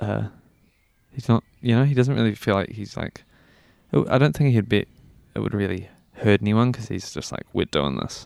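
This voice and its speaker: A man with a New Zealand accent and a fairly low pitch speaks with long, frequent pauses, in a very clean recording with a silent background and a dry, close sound with no echo. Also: ordinary pitch variation, moderate pace. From New Zealand, Christchurch area. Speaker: musician. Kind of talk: interview. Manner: casual, hesitant with fillers.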